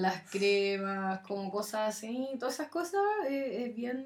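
A woman talks extremely slowly, her pitch shifting in a typical way, with background noise clearly audible. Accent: Chilean. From Chile, Curicó. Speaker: amateur runner. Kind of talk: casual chat.

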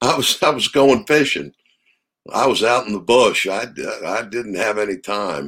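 A man talks in an American accent at a medium pitch, with vocal fry. He leaves long, frequent pauses. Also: lively intonation, moderate pace. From Maryland, US. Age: 50s. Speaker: trapper and game fowl keeper. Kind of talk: casual interview.

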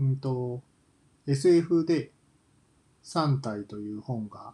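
With a dark, mellow, somewhat breathy tone at medium pitch, a man speaks with ordinary pitch variation, big swings in loudness, and long, frequent pauses. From Kansai, Japan. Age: 40s. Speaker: podcaster, office worker. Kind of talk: solo casual monologue. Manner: hesitant, many fillers.

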